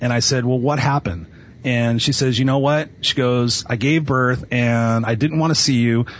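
A man speaks in a Californian accent at a medium pitch and a moderate pace. His pitch varies in an ordinary way while his loudness stays very even. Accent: Californian American English. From Los Angeles (Inglewood). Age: 40s. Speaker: motivational speaker and coach. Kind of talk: interview. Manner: energetic.

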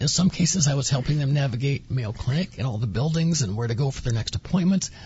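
A man's normal speaking voice, fairly high in pitch, with lively intonation. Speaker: former cancer patient. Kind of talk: personal story interview.

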